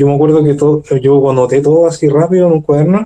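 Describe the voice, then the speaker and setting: With a Chilean accent, this man has a fairly high pitch and a dark, mellow tone. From Chile, Maipú (Santiago). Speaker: guest with paranormal experiences. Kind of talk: casual chat.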